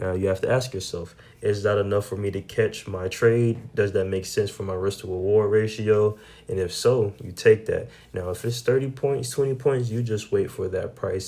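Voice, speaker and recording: A man's fairly low voice, dark and mellow in tone and somewhat breathy, with fairly even intonation. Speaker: day trader sharing trade recaps. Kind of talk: trading recap tutorial. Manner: casual, slangy.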